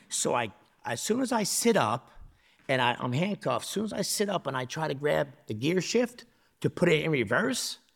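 On a very clean recording with a silent background, a man with a New Jersey accent speaks at a moderate pace with vocal fry and very wide pitch swings. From New Jersey (Newark area). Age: 40s. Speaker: former prisoner. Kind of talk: casual chat. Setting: studio.

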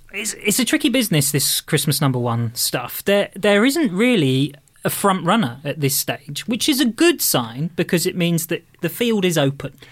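A man with an English accent talks at a moderate pace in a high pitch, his voice swinging very widely and hardly pausing. The recording is very clean, with a silent background. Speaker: podcast contributor. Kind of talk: casual chat.

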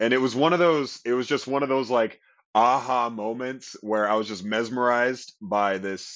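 An unremarkable speaking voice from a man with an American accent, at medium pitch with ordinary variation and a moderate pace. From US West Coast, Long Beach, California. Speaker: stage actor and dancer. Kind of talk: casual interview. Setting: recording studio.

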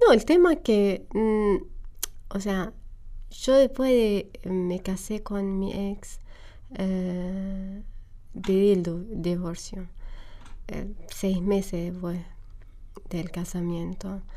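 A woman's medium-pitched, dark, mellow voice in an Arabic accent, very slow, with long, frequent pauses, big swings in loudness and ordinary pitch variation. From Syria, Homs. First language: Arabic (speaking Spanish). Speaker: refugee. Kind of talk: interview. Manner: halting.

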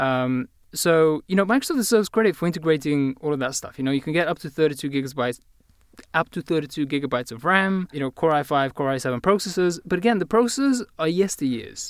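A man with a British accent, fairly high pitch and very fast pace. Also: lively intonation, dry, close sound with no echo. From Bulgaria. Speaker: tech journalist. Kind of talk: casual chat. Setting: remote link from another city.

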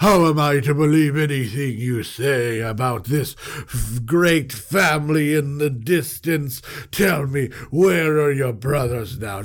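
A man's put-on character voice at a fairly slow pace, over light background noise. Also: fairly high pitch for a man. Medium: read story. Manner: imperious, accusing.

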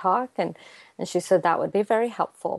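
The pace is fairly quick, with ordinary pitch variation. It is a very clean recording with a silent background and a dry, close sound with no echo. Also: woman. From US West Coast, Fremont, California (born in Afghanistan, left at two). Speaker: mental health advocate and county manager. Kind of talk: radio interview.

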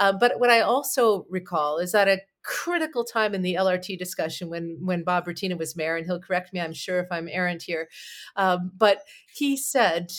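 A woman with a Canadian accent speaks at a moderate pace in an ordinary speaking voice. Her pitch sits in the medium range. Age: 40s. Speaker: PR firm owner and talk show host. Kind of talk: interview.

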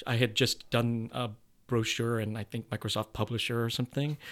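A man at a medium pitch speaks very fast in a monotone, flat delivery. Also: very clean recording, silent background. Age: 50s. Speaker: actor and theater producer. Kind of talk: interview. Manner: hesitant, many fillers.

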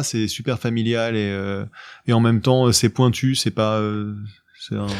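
With an ordinary speaking voice, a man talks at a medium pitch and a moderate pace, with ordinary pitch variation. The background is quiet. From France, Paris suburbs. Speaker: podcast host and amateur magician. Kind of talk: casual interview.

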